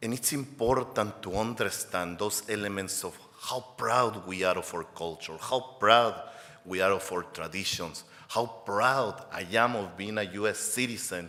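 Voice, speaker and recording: A man with a fairly low pitch talks at a fairly slow pace over noticeable background noise. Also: ordinary pitch variation. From Mexico. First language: Spanish. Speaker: advocacy organization executive director. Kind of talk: award acceptance speech. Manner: impassioned.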